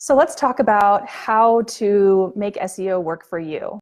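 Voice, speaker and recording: This is an unremarkable speaking voice with a North American accent. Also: woman. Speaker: travel blogger. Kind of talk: webinar presentation. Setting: online webinar with slides.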